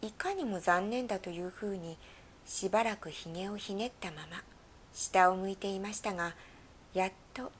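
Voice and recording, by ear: The speaker is reading aloud in a natural voice. Pitch variation stays ordinary.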